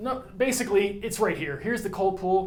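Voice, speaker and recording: A man with an American accent talks at a very fast pace, with audible room echo. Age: 50s. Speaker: atmospheric scientist. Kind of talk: conference talk. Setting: stage with audience. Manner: casual.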